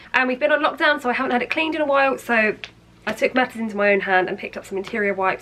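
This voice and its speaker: A woman with an English accent speaks in a high voice with an animated tone and lively intonation. Noticeable background noise runs underneath. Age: 20s. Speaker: lifestyle vlogger. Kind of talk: product haul video. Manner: chatty, animated.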